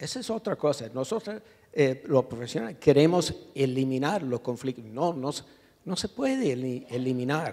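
A man with an English accent speaks at a moderate pace in a dark, mellow, fairly high voice with lively intonation against a quiet background. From US, New York. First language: English (speaking Spanish). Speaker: urban planning professor, activist; urban planning professor. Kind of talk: panel discussion. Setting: auditorium with audience. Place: hall. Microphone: handheld.

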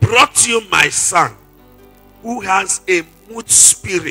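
A man speaks at a very slow pace with faint music in the background. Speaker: preacher. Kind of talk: sermon. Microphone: handheld.

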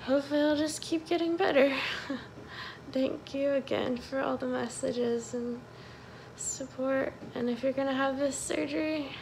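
Soft-spoken and high-pitched, a woman talks at a moderate pace with fairly even intonation, taking long, frequent pauses amid light background noise. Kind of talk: casual vlog chat. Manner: soft, weak voice from hospital bed. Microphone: phone near.

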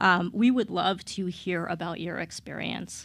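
Speaking at a moderate pace, a woman has a fairly low pitch, a fairly bright tone and some vocal fry.

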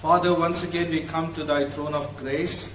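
A man's fairly slow, fairly even-toned speech amid light background noise and audible room echo. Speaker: pastor leading worship. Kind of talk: prayer. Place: church.

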